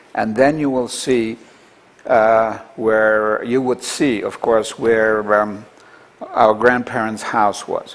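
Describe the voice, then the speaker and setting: Over noticeable background noise, a man with a medium pitch speaks at a very slow pace. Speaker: Holocaust-era survivor recounting family history. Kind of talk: oral history interview. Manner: halting.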